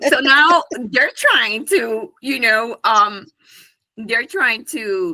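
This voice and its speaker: A woman with a Honduran accent speaks very slowly at a fairly high pitch, her voice making very wide pitch swings. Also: big swings in loudness. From Honduras. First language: Spanish. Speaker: business owner. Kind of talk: interview.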